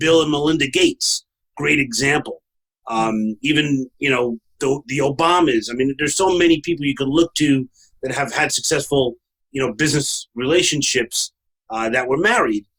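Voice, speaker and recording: The sound is dry and close with no echo as a man with a Brooklyn accent speaks at a moderate pace. His pitch is fairly high, with ordinary pitch variation. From New York, Brooklyn. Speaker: podcast host, franchise consultant. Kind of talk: casual podcast conversation.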